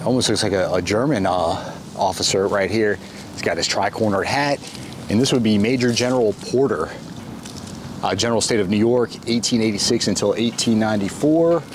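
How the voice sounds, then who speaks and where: Against noticeable background noise, the speech has long, frequent pauses and ordinary pitch variation, with a dry sound and no echo. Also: man, moderate pace. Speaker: travel vlogger. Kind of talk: casual vlog commentary. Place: open country. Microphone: phone near.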